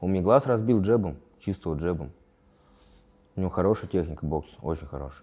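A man speaks with a very deep, low pitch and a dark, mellow tone. His pace is moderate and his pitch varies in an ordinary way. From Moscow region, Russia. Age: 20s. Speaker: fighter; interviewee. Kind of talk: interview; interview answer. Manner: halting. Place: home room. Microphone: lapel.

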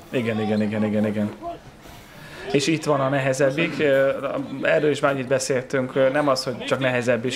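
Over music in the background, a man speaks at medium pitch with fairly even intonation. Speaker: sports presenter. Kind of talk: sports video commentary.

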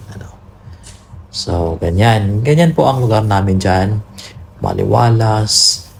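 Over noticeable background noise, a man speaks very slowly at a fairly low pitch with ordinary pitch variation. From Philippines, rural village. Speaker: vlogger. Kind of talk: casual vlog narration.

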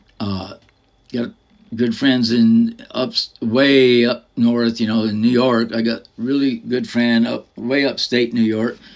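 In a quiet background, a man with an American accent speaks very slowly at a medium pitch in a monotone, flat intonation. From US. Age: 60s. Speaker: vlogger, retired military veteran and former photographer. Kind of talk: casual vlog monologue. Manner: halting, filler-heavy. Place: home room. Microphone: phone near.

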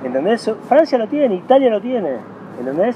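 A man with a Rioplatense accent at a fairly quick pace, over noticeable background noise. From Argentina. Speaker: former tennis pro and federation executive; interviewee. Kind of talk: interview. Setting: tennis club. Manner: animated. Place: garden.

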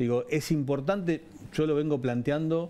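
Speaking at a fairly quick pace, a man with a dark, mellow tone uses ordinary pitch variation. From Argentina. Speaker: head of state railway company; interview guest. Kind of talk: TV interview. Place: studio. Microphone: headset.

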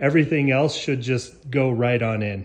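This man's voice is somewhat breathy. Its pitch varies in an ordinary way. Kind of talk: casual vlog chat. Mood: pleased, relaxed. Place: kitchen. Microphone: phone near.

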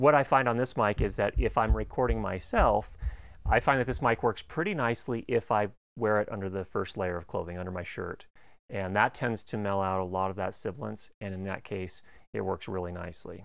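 Against a quiet background, a man talks at a fairly quick pace with ordinary pitch variation, the sound dry with no echo. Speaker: audio gear reviewer. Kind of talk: tutorial. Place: studio. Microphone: lapel.

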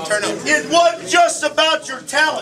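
A man's raised, projected voice at a moderate pace over noticeable background noise. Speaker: head football coach. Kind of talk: post-game team speech. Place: hall. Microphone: camera far.

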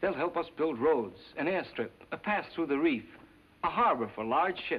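Light background noise sits behind a man speaking at a fairly quick pace. His intonation is lively. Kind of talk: scripted film dialogue. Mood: earnest, serious persuasion. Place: studio. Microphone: old recording.

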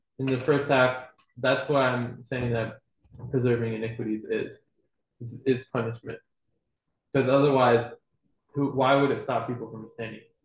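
A man speaks at a medium pitch, somewhat breathy, with a monotone, flat delivery. He leaves long, frequent pauses, and the room echo is audible. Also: moderate pace. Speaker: student in a Torah class; class teacher. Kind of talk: class discussion. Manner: tentative, many fillers. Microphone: webcam.

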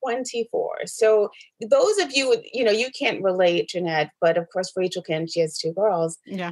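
A woman with an American accent speaks fairly slowly in an ordinary speaking voice. Her medium-pitched delivery has lively intonation. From New York, the Bronx, then Atlanta from age 14. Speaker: real estate agent. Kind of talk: casual interview. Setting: video call.

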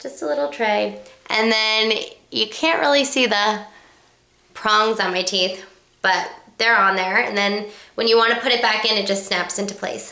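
Amid noticeable background noise, a woman with a medium pitch and ordinary pitch variation talks at a moderate pace, with long, frequent pauses. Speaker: beauty vlogger. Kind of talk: casual vlog tutorial.

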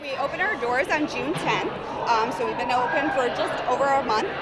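A woman speaks with music in the background. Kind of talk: interview answer. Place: gym. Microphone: handheld.

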